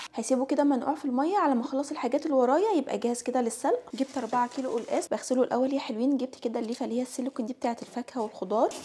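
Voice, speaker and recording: A woman with a high pitch talks at a very fast pace with hardly any pauses, against noticeable background noise. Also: ordinary pitch variation. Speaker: home cooking vlogger. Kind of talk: vlog narration. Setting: home kitchen. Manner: casual.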